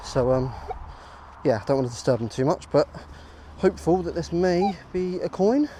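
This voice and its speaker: A man speaks at a moderate pace with lively intonation. Noticeable background noise runs underneath. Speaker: metal detecting vlogger. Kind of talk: casual vlog narration. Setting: outdoors in a field. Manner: hesitant, many fillers; quieter than usual.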